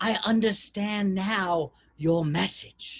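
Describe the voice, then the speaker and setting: A put-on character voice, middle in pitch, at a very slow pace. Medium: read story.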